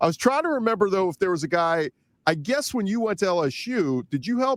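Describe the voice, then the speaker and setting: Speaking at a fairly quick pace, a man with a high voice swings very widely in pitch, captured dry and close with no echo on a very clean recording with a silent background. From New Orleans, US South. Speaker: sports podcast host. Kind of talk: interview.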